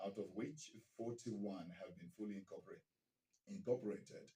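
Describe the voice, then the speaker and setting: A man's dark, mellow tone, somewhat breathy, at a moderate pace. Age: 60s. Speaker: radio broadcaster, news anchor. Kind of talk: radio news bulletin.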